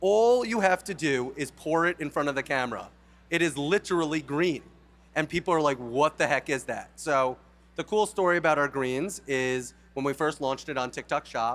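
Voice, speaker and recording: Here a man with a New York accent speaks in an animated tone at a moderate pace. His pitch is fairly high, with ordinary variation. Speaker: company founder. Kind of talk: conference talk.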